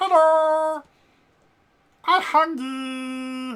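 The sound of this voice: A squeaky, high-pitched put-on character voice carries the whole clip.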